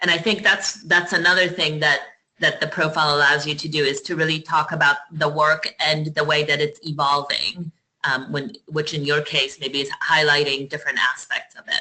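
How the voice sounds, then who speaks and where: Her pitch is very deep and low for a woman. The intonation stays fairly even. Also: moderate pace. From Poland, moved to the US at twelve. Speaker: nonprofit platform presenter. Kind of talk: webinar commentary. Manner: halting, repeats words.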